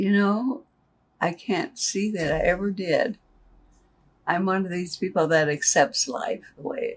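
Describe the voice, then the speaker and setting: A woman with an American accent speaks at a fairly slow pace and a medium pitch, with long, frequent pauses. Her voice is somewhat breathy, with lively intonation. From Nebraska, US Midwest. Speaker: retired worker. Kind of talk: interview. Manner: plain-spoken, short answers.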